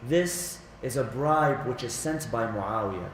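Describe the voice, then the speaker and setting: A man speaks at a fairly high pitch with very wide pitch swings. Noticeable background noise and audible room echo surround him. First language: Arabic. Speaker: religious lecturer. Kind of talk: religious lecture. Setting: Islamic center.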